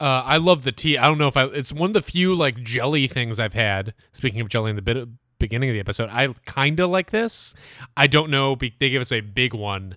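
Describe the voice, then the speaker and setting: Bright and sharp in tone, a man speaks playfully with lively intonation on a very clean recording with a silent background. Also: medium pitch for a man, fairly quick pace. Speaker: podcast host. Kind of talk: casual banter. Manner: joking, playful.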